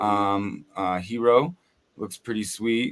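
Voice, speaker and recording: This man has a plain, everyday voice pitched fairly low. His pitch varies in an ordinary way. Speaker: podcast co-host. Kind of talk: casual chat.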